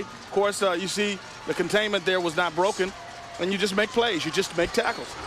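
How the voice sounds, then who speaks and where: Someone speaks very fast with an American accent and fairly even intonation. Noticeable background noise is heard. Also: man. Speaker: color commentator. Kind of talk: live sports commentary.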